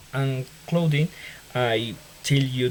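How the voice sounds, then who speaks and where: A man with a Colombian accent speaks at a very slow pace and medium pitch. Background noise is noticeable. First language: Spanish. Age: 20s. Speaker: engineering student. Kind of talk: self-introduction for class assignment. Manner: halting.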